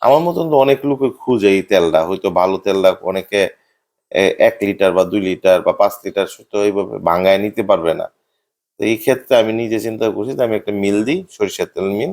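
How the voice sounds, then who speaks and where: Recorded very cleanly against a silent background, a man has an ordinary speaking voice, a fairly low pitch and ordinary pitch variation. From Bhairab, Kishoreganj, Bangladesh. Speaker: business owner. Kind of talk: interview testimony.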